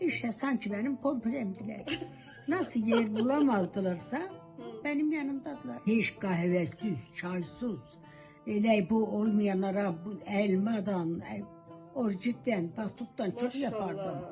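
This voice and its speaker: Over music in the background, a speaker with an Eastern Anatolian accent talks at a very slow pace with lively intonation. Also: woman, medium pitch for a woman. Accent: Eastern Anatolian Turkish dialect. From Eastern Anatolia, Turkey. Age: 80s+. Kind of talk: interview answer.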